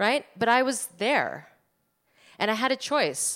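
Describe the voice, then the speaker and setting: A woman with a New Jersey accent at a moderate pace, in a very clean recording with a silent background. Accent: American, New Jersey. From New Jersey, US. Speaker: archaeologist and anthropology professor. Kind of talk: live storytelling on stage.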